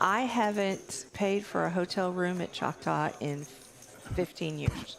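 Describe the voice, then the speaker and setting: A woman with a Texas accent talks at a fairly slow pace. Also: medium pitch for a woman, ordinary pitch variation. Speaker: guest poker commentator. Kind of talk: live commentary. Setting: commentary booth.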